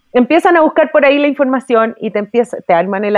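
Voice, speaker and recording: A woman speaks with a Chilean accent. Her intonation is lively. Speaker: businesswoman and horse breeder. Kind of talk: casual interview conversation.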